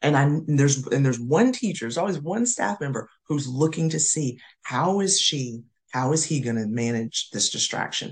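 Animated and somewhat breathy, a woman with an American accent speaks at a moderate pace. Her very deep, low pitch moves with lively intonation. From US South, North Carolina. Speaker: school administrator and professor. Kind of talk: casual interview.

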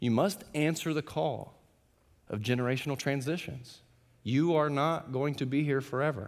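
A man with a fairly high pitch talks at a moderate pace with ordinary pitch variation, in a normal speaking voice. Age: 30s. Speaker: pastor. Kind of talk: sermon. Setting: church.

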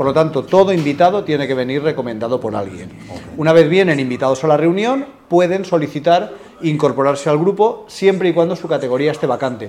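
Against noticeable background noise, a man talks at a fairly quick pace with a fairly high pitch and lively intonation. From Spain, Alicante. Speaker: business networking representative. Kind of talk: interview.

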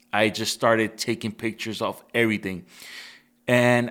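In a very clean recording with a silent background, a man speaks at a moderate pace in an unremarkable speaking voice at a medium pitch. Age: 30s. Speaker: photographer. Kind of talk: casual chat.

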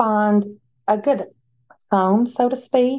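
A woman with a Tennessee accent at a very slow pace, against a quiet background. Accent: US Southern (Tennessee). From Tennessee, Nashville. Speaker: staffing agency representative. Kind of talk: casual interview.

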